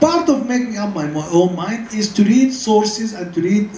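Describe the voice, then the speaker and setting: Someone speaks with an Arabic accent over noticeable background noise. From Sudan. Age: 70s. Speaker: scholar. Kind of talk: lecture Q&A answer. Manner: halting, with repetitions.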